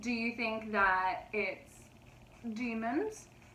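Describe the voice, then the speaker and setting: A high-pitched woman's voice amid audible room echo and noticeable background noise. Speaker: paranormal storytime youtuber. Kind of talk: casual storytelling vlog. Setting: home recording with pets on lap.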